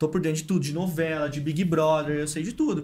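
A man's somewhat breathy, fairly high-pitched voice at a fairly quick pace. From Brazil, São Paulo state (Santos, Paulínia). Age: 20s. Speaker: marketing head and podcast host. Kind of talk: casual chat.

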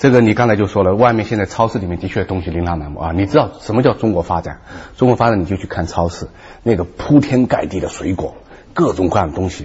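A man talks very fast in a fairly low pitch with an animated tone and ordinary pitch variation. Noticeable background noise can be heard. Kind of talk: talk show discussion.

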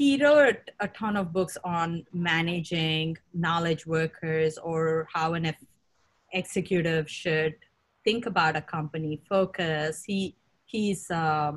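Her pace is fairly slow. This woman's voice carries a somewhat breathy quality. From India. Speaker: tech executive. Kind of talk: interview.

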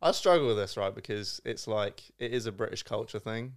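Very fast and fairly even in intonation, a man speaks in a fairly low pitch with a southern English accent. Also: very clean recording, silent background. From Surrey, England. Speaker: podcast co-host. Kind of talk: casual chat.

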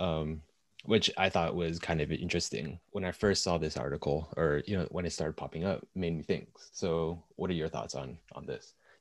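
This man's very deep, low voice carries vocal fry and fairly even intonation, recorded very cleanly against a silent background. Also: moderate pace. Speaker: podcast host and marketer. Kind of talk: casual discussion.

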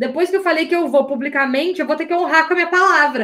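An animated woman's voice sits at an extremely high pitch with ordinary pitch variation. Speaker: life coach. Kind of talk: live online class. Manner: uneven loudness, sometimes loud.

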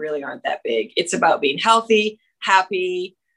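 Using an ordinary speaking voice, a woman speaks at medium pitch. Her pace is moderate with ordinary pitch variation. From Canada. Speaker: country singer-songwriter. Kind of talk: interview. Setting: video call.

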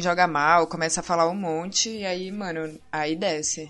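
A woman speaks in a plain, everyday voice at medium pitch with fairly even intonation. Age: 20s. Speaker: gamer. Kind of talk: casual chat.

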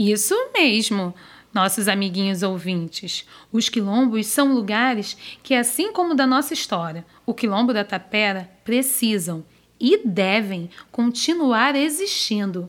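A woman speaks at a fairly slow pace in a normal speaking voice, her pitch fairly high. Her intonation is lively, and her loudness stays very even. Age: 30s. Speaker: storyteller. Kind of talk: storytelling for children.

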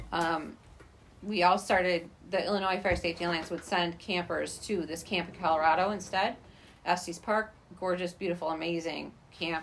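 Delivered at a moderate pace, this is a normal speaking voice with an American accent. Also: woman. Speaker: teacher, friend of host. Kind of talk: casual chat.

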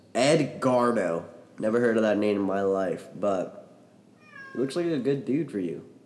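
A man with lively intonation at a fairly slow pace, over noticeable background noise. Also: medium pitch for a man. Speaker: podcast guest. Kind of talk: casual chat. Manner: animated.

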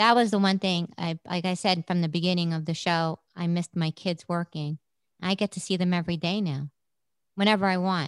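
A woman with a New York accent and a fairly low pitch talks at a fairly quick pace with fairly even intonation. The sound is dry and close with no echo, over a quiet background. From New York City, Brooklyn. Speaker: rehab center founder. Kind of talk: interview.

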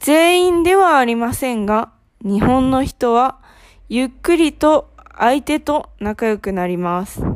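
Speaking at a very slow pace, a woman with a high pitch makes very wide swings in her pitch. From Japan, Ehime Prefecture. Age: 20s. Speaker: Japanese language teacher, podcast host. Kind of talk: scripted language lesson. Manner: slow, clear delivery for learners.

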